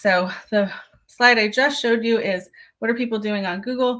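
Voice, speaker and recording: At a fairly quick pace, a woman with a fairly high pitch speaks with ordinary pitch variation. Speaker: museum digital marketing presenter. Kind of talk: webinar presentation. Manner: fast.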